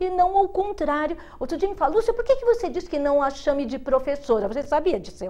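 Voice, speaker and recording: Her tone dark and mellow, a woman talks at a fairly quick pace with very wide pitch swings. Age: 60s. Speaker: educator and speaker. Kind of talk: TV interview.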